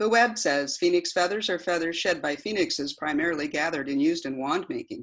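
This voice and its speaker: Talking at a very fast pace with hardly any pauses, a woman with a fairly low pitch uses lively intonation against a quiet background. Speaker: poet. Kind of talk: poem performed as dialogue with Siri. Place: home room. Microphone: webcam.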